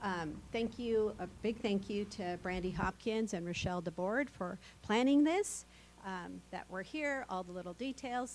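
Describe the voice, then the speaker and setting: This woman has a plain, everyday voice at medium pitch. She speaks at a moderate pace with lively intonation. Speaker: county administrator. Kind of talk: meeting opening remarks.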